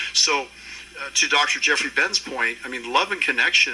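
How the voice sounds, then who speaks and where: Noticeable background noise sits behind this recording. A man talks at a moderate pace. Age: 70s. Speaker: panel moderator and anti-aging doctor. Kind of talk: expo panel discussion. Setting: stage with audience.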